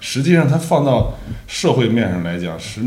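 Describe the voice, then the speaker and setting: With very wide pitch swings, a man speaks at a moderate pace amid audible room echo. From northeastern Beijing, raised among Northeasterners. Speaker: film director. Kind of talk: casual interview. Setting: director's studio.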